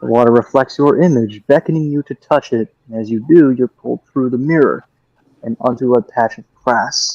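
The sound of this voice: Pitch moves in an ordinary way in this unforced reading voice. Little sound comes from the background.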